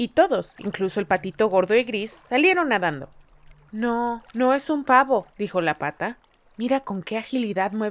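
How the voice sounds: A natural reading voice, delivered with ordinary pitch variation.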